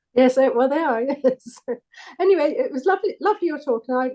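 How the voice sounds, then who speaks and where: Fairly quick speech in a dark, mellow tone, with a dry, close sound and no echo. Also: woman. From southern England, near London. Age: 70s. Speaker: audience member asking questions. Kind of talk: Q&A after a talk. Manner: halting, many fillers.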